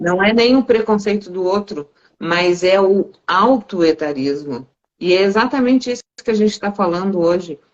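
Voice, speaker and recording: A woman speaks in a normal speaking voice at a medium pitch. Her intonation is lively and her pace moderate. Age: 60s. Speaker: live stream host on self-development. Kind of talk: casual conversation on a live stream.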